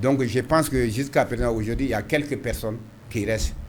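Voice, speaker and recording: A somewhat breathy man talks at a very fast pace with ordinary pitch variation. Audible room echo surrounds his voice. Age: 60s. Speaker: mayor. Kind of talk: interview. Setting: TV studio. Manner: halting, repetitive.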